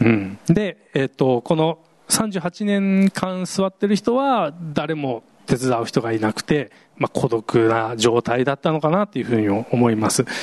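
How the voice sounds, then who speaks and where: A man's fairly high voice with very wide pitch swings, at a fairly slow pace, in a dry, close recording with no echo. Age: 40s. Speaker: pastor. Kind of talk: sermon. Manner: casual, hesitant with fillers.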